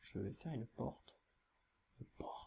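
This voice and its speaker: A man's whisper at a fairly slow pace. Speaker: gaming YouTuber. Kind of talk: let's play commentary. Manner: hesitant, many filler sounds.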